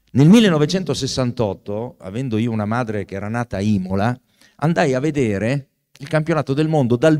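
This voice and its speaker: A man's dark, mellow voice at medium pitch with lively intonation, set against a quiet background. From Italy, Pesaro (Marche); Marche, Italy. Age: 60s. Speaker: law professor and author; law professor. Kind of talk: book presentation talk. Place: hall. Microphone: handheld.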